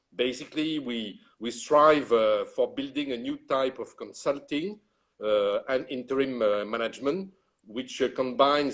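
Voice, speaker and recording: Speaking at a moderate pace with a French accent, the man has a medium pitch and ordinary pitch variation. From France. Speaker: retail executive and consultant. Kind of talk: interview.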